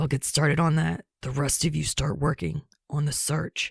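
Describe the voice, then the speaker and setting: In a put-on character voice, the speaker sounds raspy at a low-to-middle pitch and keeps a moderate pace. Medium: read story. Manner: brusque, profane.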